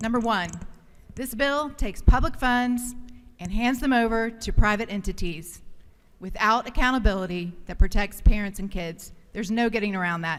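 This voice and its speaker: A woman with an ordinary speaking voice, fairly high pitch, an American accent, ordinary pitch variation and a moderate pace. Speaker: state legislator. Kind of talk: legislative floor speech.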